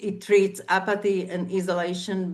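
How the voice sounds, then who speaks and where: A woman's medium-pitched voice at a fairly slow pace, with a Slovak accent. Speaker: civic activist. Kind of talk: conference talk. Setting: online event. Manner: halting, many fillers.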